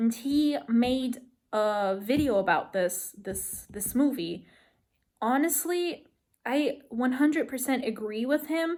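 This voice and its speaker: On a very clean recording with a silent background, a woman speaks very slowly, her high pitch carried by lively intonation. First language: not English. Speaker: movie review vlogger. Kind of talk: casual vlog rant. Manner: halting, many fillers.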